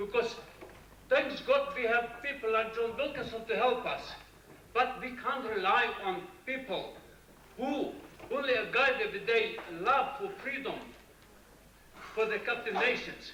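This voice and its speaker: With audible room echo and noticeable background noise, a man speaks in a raised, projected voice at an extremely high pitch, using lively intonation and long, frequent pauses. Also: fairly slow pace. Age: 60s. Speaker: audience member. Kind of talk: conference floor question.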